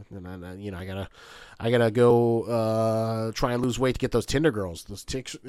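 A man speaks in a normal speaking voice at a medium pitch and a fairly quick pace, with fairly even intonation. His loudness swings widely on a very clean recording with a silent background. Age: 30s. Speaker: YouTuber. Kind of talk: casual chat.

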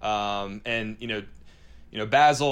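At a moderate pace, a man talks in an American accent. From North Carolina. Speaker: podcast co-host, nonprofit staff. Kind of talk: interview.

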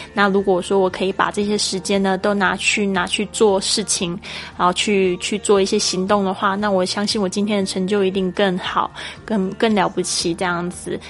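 Noticeable background noise is present. A woman speaks at a moderate pace in a medium pitch with monotone, flat intonation. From Taiwan. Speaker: English teacher podcaster. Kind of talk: language lesson.

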